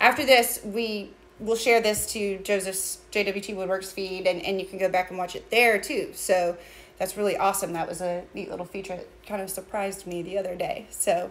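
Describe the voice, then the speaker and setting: At a moderate pace, a woman talks with fairly even intonation. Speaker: small business co-owner host. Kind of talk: casual livestream chat. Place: workshop. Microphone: phone near.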